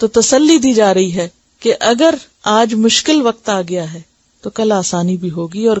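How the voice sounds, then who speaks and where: Her intonation is lively as a woman uses a plain, everyday voice at a medium pitch. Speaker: Islamic scholar. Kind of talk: religious lecture on Quran.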